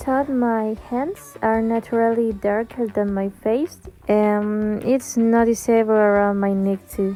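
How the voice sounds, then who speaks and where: With an Argentine accent, a woman speaks at a fairly slow pace and fairly high pitch, her intonation fairly even, as music plays in the background. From Argentina. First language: Spanish. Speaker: beauty vlogger. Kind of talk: tutorial.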